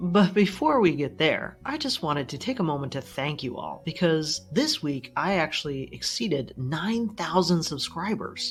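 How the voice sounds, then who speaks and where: Over music in the background, a woman with a fairly low pitch talks at a moderate pace with hardly any pauses and lively intonation. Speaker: finance YouTuber, dividend investor. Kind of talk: casual vlog talk to camera.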